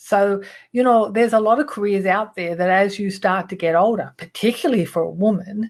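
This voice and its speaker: A woman with an Australian accent speaks at a medium pitch with ordinary pitch variation. Her pace is moderate and the background is quiet. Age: 60s. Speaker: image consulting business owner and trainer. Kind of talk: presentation. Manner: casual, with frequent fillers.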